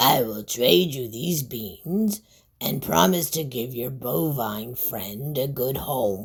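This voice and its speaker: A raspy, creaky put-on character voice at a low-to-middle pitch and a very slow pace. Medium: read story.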